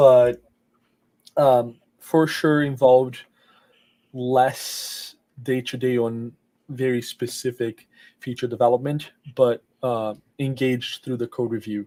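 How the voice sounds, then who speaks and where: With a Portuguese accent, a man speaks at a very slow pace and a medium pitch, his dark, mellow tone flat and monotone, broken by long, frequent pauses. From Brazil, Rio de Janeiro. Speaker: software engineer. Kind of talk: interview. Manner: halting, many fillers.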